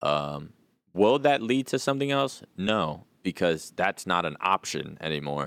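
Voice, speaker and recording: On a very clean recording with a silent background and dry, close sound with no echo, a man with a very deep, low voice talks fairly slowly with very wide pitch swings. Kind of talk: casual chat. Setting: studio. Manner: casual, profane.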